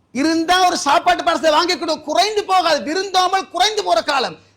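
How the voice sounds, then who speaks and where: A man talks with a bright, sharp tone. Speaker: Islamic preacher giving a Friday sermon. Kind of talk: Friday sermon (khutbah / bayan) delivered in a mosque. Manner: earnest, exhortative, direct address to the audience.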